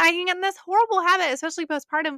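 A woman's raised, projected voice has a bright, sharp tone in a very clean, dry, close recording with no echo and a silent background. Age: 30s. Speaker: podcast host and personal trainer. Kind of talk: faith-based solo podcast talk.

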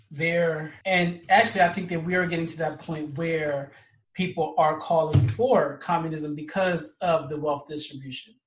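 Music plays in the background as a man talks at a fairly slow pace. His voice is fairly high in pitch, with fairly even intonation. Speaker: podcast host. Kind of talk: casual book discussion. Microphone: poor volume, sound not checked.

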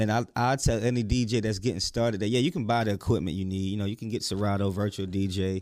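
At a very fast pace with hardly any pauses, a man speaks in a fairly low pitch with fairly even intonation. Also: very clean recording, silent background. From South Carolina. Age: 30s. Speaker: DJ and talk show host. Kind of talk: interview, casual chat. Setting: studio.

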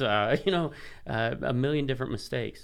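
With vocal fry in his voice, a man talks at a moderate pace with ordinary pitch variation. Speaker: pastor. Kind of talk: casual interview chat.

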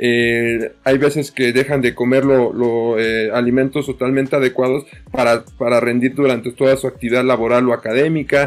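A man speaks at a moderate pace and medium pitch with hardly any pauses, his loudness very even and his intonation flat and monotone. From Mexico. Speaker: nutritionist and high school teacher. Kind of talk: panel discussion. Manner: halting, many repetitions.

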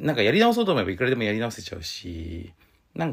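At a medium pitch, a man speaks at a fairly quick pace. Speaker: podcast host and game designer. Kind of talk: solo podcast talk. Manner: hesitant, many fillers.

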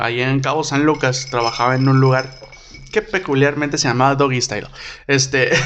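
At a moderate pace, a man with a fairly high pitch speaks in fairly even intonation over noticeable background noise. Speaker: podcast host and comedian. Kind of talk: casual chat.

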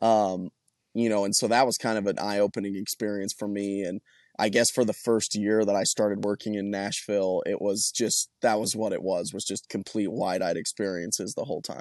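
A man with an American accent talks at a fairly quick pace, his pitch fairly low and his intonation monotone and flat. The sound is dry and close with no echo, over a quiet background. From Colorado. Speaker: country singer. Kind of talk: interview.

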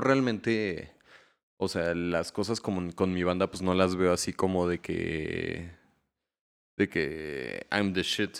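Speaking at a very slow pace, a man has a very deep, low voice. The recording is very clean with a silent background. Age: 20s. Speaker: musician. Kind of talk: casual chat.

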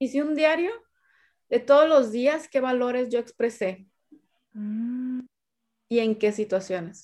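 At a very slow pace, a woman with a high-pitched voice and ordinary pitch variation speaks with long, frequent pauses. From Sinaloa, Mexico. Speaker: sales coach and speaker. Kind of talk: interview. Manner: halting.

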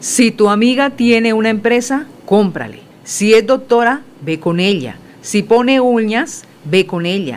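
A woman's fairly slow speech is heard against noticeable background noise. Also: fairly high pitch for a woman, ordinary pitch variation. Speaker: radio news co-host. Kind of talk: news reading. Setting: studio.

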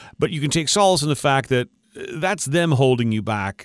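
A man's normal speaking voice, medium in pitch, with lively intonation. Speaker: radio host. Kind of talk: casual interview chat.

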